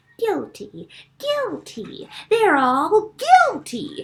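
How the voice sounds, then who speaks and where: An extremely high, squeaky put-on character voice with very wide pitch swings at a very slow pace. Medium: read story. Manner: muttering.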